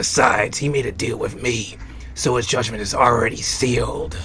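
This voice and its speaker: Using a put-on character voice at a medium pitch, a man speaks over clear background noise. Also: moderate pace. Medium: audio drama. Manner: mocking, laughing.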